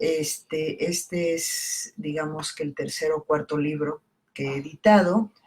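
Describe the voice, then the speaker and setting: A woman talks at a very slow pace. Her pitch is very deep and low, with fairly even intonation. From southern Mexico (Campeche). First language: Italian (speaking Spanish). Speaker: poet and book editor. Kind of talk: casual talk about her book. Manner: halting, many fillers.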